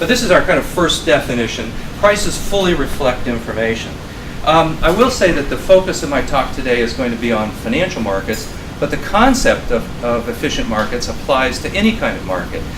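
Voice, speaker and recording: A man talks at a fairly quick pace with very wide pitch swings, his voice carrying audible room echo over noticeable background noise. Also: fairly high pitch for a man. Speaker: finance professor. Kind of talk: lecture. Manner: fast.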